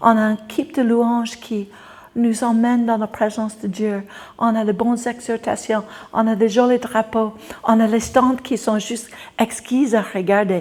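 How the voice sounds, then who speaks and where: Her voice sits fairly high and her intonation stays fairly even as this woman talks at a fairly slow speed. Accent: English. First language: English (speaking French). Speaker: preacher. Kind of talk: sermon.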